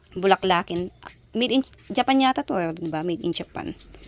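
An animated woman with lively intonation, recorded with a dry, close sound with no echo and noticeable background noise. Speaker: vlogger. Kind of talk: casual vlog narration. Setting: outdoors.

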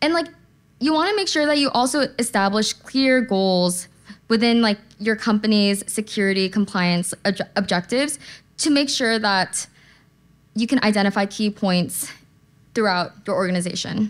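A woman talks at a moderate pace with lively intonation. She takes long, frequent pauses. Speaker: conference speaker. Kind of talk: conference talk. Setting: stage with audience. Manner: casual, uses slang. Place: hall. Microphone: podium.

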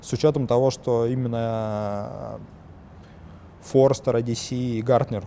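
A man with a dark, mellow tone and vocal fry speaks at a fairly slow pace, medium in pitch with fairly even intonation.

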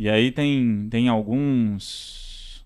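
Against a quiet background, a man speaks at a medium pitch. His tone is dark and mellow, with ordinary pitch variation. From Brazil, Minas Gerais then Brasília. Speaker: startup CEO; podcast guest. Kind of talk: interview. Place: studio. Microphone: studio mic.

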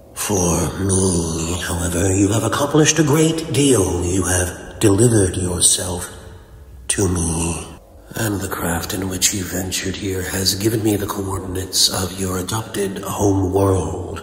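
In a put-on character voice, a man speaks with a very deep, low pitch, with clear echo and light background noise. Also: moderate pace. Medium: dub.

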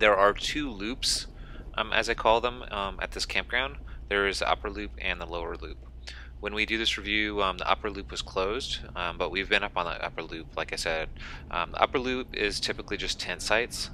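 A man talks at a fairly quick pace. The sound is dry with no echo, and there is light background noise. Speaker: campground reviewer. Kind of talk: casual vlog commentary. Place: car.

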